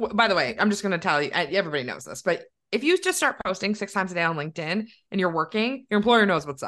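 A woman with a Canadian accent speaks at a medium pitch and a very fast pace. Her pitch swings very widely against a quiet background. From Canada, Milton near Toronto. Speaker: entrepreneur and coach. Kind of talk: casual interview chat.

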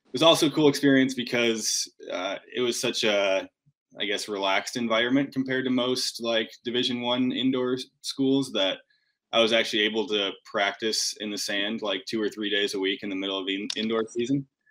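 Against a silent background in a very clean recording, a man with an American accent and an unremarkable speaking voice talks at medium pitch and a fairly quick pace, with ordinary pitch variation and big swings in loudness. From Michigan, Grand Rapids. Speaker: beach volleyball player and coach. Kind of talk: casual interview. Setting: hotel room on a road trip, live stream.

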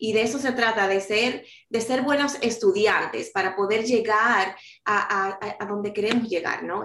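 This woman has a normal speaking voice at a medium pitch. She keeps a moderate pace with fairly even intonation. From New York City, Dominican-born. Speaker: author and life coach. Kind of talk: interview.

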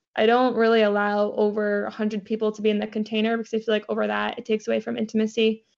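A woman talks at a very fast pace with hardly any pauses. Her fairly high voice is monotone and flat. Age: 20s. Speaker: manifestation coach. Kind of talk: interview conversation.

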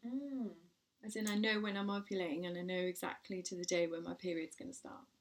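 A woman speaks with an English accent. Her pace is fairly quick, with ordinary pitch variation. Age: 40s. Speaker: podcast host and parenting blogger. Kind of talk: casual chat.

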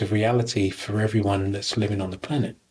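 Monotone, flat intonation marks this somewhat breathy voice. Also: man. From UK. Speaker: spiritual teacher. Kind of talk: podcast interview.

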